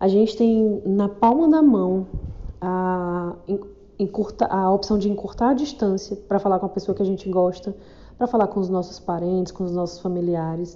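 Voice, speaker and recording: The speech moves at a moderate pace with ordinary pitch variation. Long, frequent pauses break it up. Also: woman, medium pitch for a woman. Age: 40s. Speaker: podcaster. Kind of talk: casual monologue.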